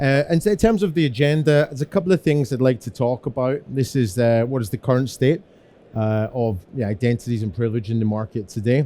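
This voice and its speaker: Delivered at a fairly quick pace in a Scottish accent, the voice has a dark, mellow tone and lively intonation. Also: man, medium pitch for a man. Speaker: security engineer. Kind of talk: conference presentation. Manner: fast.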